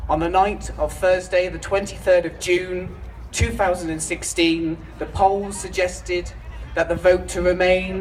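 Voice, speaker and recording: The speaker goes at a fairly slow pace. Background noise is noticeable. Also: man. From United Kingdom. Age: 20s. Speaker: political speaker, student. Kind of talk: rally speech. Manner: declamatory, rousing.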